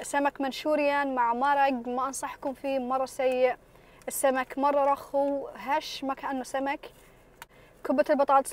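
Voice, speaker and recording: A woman is talking. Her pitch is high. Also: dry sound with no echo. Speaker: food vlogger. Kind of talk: casual vlog chat. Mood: relaxed, pleased. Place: car. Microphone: phone near.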